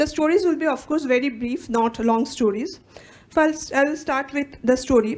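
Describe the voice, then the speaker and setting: Speaking with a Bengali accent, a woman talks at a high pitch. Her pace is moderate. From India, West Bengal (Calcutta). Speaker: psychologist and academic researcher. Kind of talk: conference talk, partly read aloud. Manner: reading from a script.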